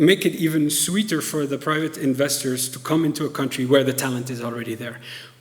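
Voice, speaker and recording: Noticeable background noise and audible room echo accompany a man speaking at a fairly high pitch. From Tunisia. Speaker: professor. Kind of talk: lecture Q&A.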